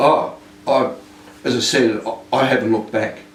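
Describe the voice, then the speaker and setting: Speaking at a fairly slow pace with an Australian accent, a man is heard amid noticeable background noise and audible room echo. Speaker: retired police inspector. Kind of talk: interview. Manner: halting.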